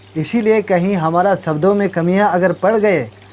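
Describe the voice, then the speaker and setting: The speaker has an Arunachal Pradesh accent, with noticeable background noise behind the voice. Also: man. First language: Nyishi (speaking Hindi). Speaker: talk show host. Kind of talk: talk show explanation of proverbs.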